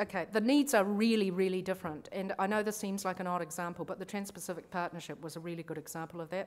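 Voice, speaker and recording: In a very clean recording with a silent background, a woman with a New Zealand accent speaks at a very fast pace and a fairly low pitch, with ordinary pitch variation. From grew up in New Zealand, born abroad. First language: not English. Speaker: lawyer and conference speaker. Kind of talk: conference talk. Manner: casual, conversational.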